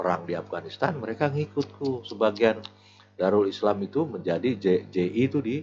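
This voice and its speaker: A man at a fairly low pitch, fairly quick pace and lively intonation, with music in the background. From Jakarta, Betawi (Tanah Abang). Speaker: retired police officer. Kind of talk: casual interview chat. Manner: casual, halting with repetitions.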